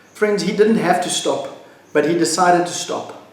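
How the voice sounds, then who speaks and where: Against noticeable background noise and audible room echo, a man with a high-pitched voice speaks at a moderate pace. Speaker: pastor. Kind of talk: devotional teaching.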